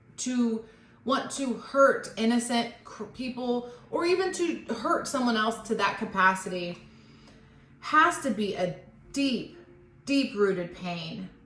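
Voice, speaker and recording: A woman's fairly high, lively voice at a fairly slow pace, with long, frequent pauses, audible room echo and noticeable background noise. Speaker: tarot reader. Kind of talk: tarot reading monologue. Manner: reflective.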